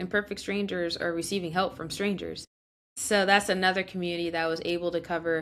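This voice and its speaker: An American accent marks this woman's very fast, fairly low-pitched speech, delivered in a monotone, flat intonation. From Florida, US. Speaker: TV news reporter. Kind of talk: podcast interview.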